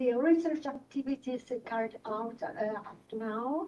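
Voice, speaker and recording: A woman with an Italian accent, fairly high in pitch with ordinary pitch variation, a dark, mellow tone and a fairly slow pace. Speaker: doctoral candidate. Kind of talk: academic presentation. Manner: halting.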